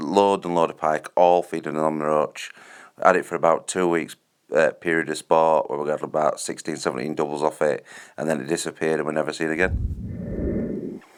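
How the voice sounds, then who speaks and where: Speaking with a Yorkshire accent, a man with a very deep, low pitch keeps up a fairly quick pace. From Yorkshire, northern England. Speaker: angling video host. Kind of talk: tutorial. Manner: fast; animated.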